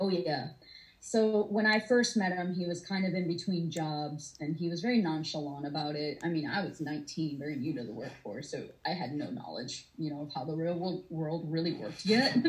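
The speaker has an American accent, a somewhat breathy voice and lively intonation at a moderate pace. Audible room echo is present. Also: woman, fairly low pitch for a woman. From US South, Atlanta, Georgia. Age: 30s. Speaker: domestic abuse survivor. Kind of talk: testimony.

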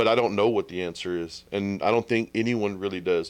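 In a Texan accent, a man talks at a fairly quick pace. His fairly low pitch has ordinary variation. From Texas. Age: 30s. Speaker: podcaster. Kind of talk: casual chat.

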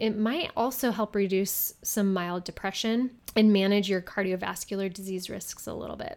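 In a very clean recording with a silent background, a woman of medium pitch uses an unremarkable speaking voice at a moderate pace. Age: 30s. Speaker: fitness podcast host. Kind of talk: solo podcast talk.

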